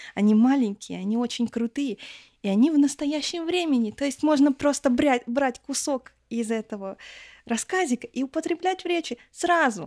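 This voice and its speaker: A woman speaks at a high pitch with lively intonation. The recording is very clean, dry and close, with a silent background and no echo. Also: moderate pace. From Russia, rural village. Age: 20s. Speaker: foreign language teacher. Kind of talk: casual chat. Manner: animated.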